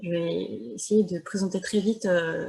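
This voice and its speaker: At a very slow pace, a woman speaks with ordinary pitch variation. Her pitch is medium. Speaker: academic discussant. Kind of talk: seminar commentary. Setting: video call. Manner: soft-spoken.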